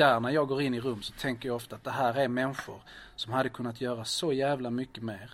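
A man, an ordinary speaking voice, fairly even intonation. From southern Sweden, Lund. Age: 40s. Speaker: community organizer. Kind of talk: interview.

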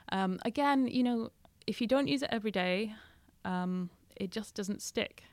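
With a Scottish Highland accent, a woman speaks at a moderate pace and fairly high pitch, using ordinary pitch variation and long, frequent pauses. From Scottish Highlands. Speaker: journalist and author. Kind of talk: interview.

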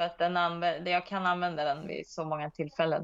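A woman's fairly low voice in a monotone, flat intonation at a moderate pace. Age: 40s. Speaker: disc golf player. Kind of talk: interview. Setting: remote call.

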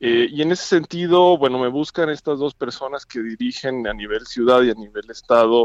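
A man speaks in a plain, everyday voice at medium pitch and a moderate pace. The sound is dry and close with no echo. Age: 30s. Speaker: political candidate. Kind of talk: phone interview. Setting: phone call.

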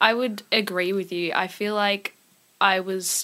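This woman has an Australian accent and a medium pitch. Her tone is bright and sharp. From Singapore and Melbourne. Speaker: singer-songwriter. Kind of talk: casual interview chat.

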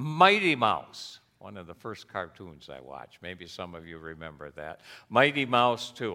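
With a bright, sharp tone and very wide pitch swings, a man speaks in a fairly low voice at a fairly slow pace. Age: 70s. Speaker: pastor. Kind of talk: sermon. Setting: church.

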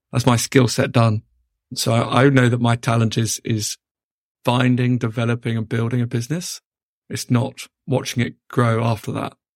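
In a British accent, a man talks at a medium pitch and a moderate pace, his intonation monotone and flat. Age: 30s. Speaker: entrepreneur. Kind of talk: interview. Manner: repetitive, restarts words.

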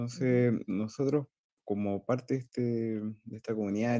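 A man speaks at a fairly slow pace and medium pitch in an ordinary speaking voice with fairly even intonation. The sound is dry and close with no echo. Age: 30s. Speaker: business development manager. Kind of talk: presentation.

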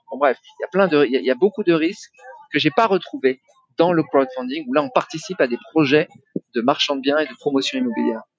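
A man's unremarkable speaking voice, fairly high in pitch, at a fairly quick pace with lively intonation. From Paris region, France (Yvelines). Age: 40s. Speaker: property investor and online entrepreneur. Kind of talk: interview testimony.

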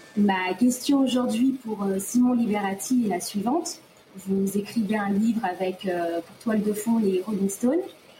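Noticeable background noise sits behind a woman speaking at a medium pitch. She goes fairly slowly, with ordinary pitch variation. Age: 20s. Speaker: reader asking a question. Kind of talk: prepared question, read out.

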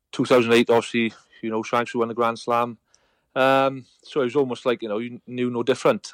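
A man with a Welsh accent talks at a fairly quick pace in a medium pitch, his intonation monotone and flat, on a very clean recording with a silent background and a dry, close sound with no echo. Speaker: retired rugby player. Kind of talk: casual chat.

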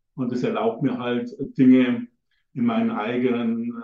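Here a man talks. The pitch jumps around very widely. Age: old. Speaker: tantra teacher and author. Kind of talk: interview. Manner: halting.

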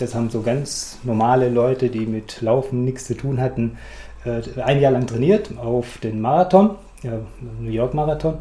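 Over noticeable background noise, a man at medium pitch talks at a moderate pace with ordinary pitch variation. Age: 50s. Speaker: amateur runner. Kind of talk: interview.

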